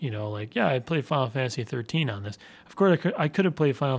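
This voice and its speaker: A man talks at a fairly quick pace. His voice is somewhat breathy, with lively intonation. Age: 30s. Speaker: podcast host. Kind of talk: casual chat.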